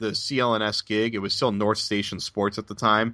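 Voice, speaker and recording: A man with an American accent, fairly low pitch, a bright, sharp tone and a fairly quick pace, in a very clean recording with a silent background. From Boston area, US. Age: 20s. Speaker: basketball reporter. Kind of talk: interview.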